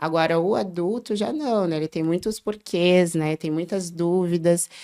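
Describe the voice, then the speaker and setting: A woman speaks at a fairly slow pace in a fairly low pitch, her dark, mellow tone carrying ordinary pitch variation over a very clean recording with a silent background. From southern Brazil, Porto Alegre. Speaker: early childhood educator. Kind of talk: podcast interview.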